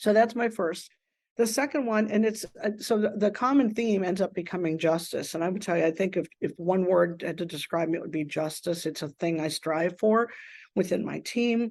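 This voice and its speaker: With an American accent, a woman talks at a moderate pace in a plain, everyday voice with ordinary pitch variation. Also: medium pitch for a woman. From Pittsburgh, US. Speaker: manufacturing organization CEO. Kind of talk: interview conversation. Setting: podcast recording.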